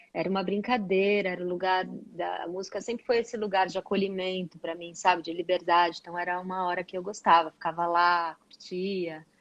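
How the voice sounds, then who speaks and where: With monotone, flat intonation, a woman moves along at a fairly quick pace. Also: medium pitch for a woman, hardly any pauses. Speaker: singer. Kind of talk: interview.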